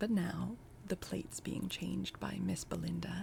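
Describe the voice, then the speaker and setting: The speaker uses a calm tone at a moderate pace. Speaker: booktube reader. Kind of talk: audiobook reading of a classic novel, cozy holiday cold read. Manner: soft-spoken, calm storytelling.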